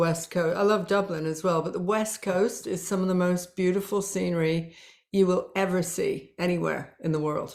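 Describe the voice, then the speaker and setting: A woman with a British accent, medium pitch, ordinary pitch variation and a moderate pace. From Yorkshire, northern England (teen years in Toronto). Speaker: spiritual business coach. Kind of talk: interview podcast.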